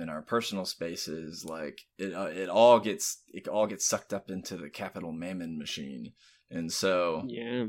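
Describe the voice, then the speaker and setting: Fairly slow speech with an American accent. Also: man, very clean recording, silent background. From US South, Florida (Tampa). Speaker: writer and gaming youtuber. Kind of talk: casual chat. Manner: halting.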